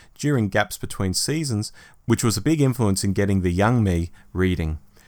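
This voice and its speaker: Lively intonation marks a man speaking with an Australian accent. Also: very clean recording, silent background. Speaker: podcast co-host. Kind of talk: casual chat.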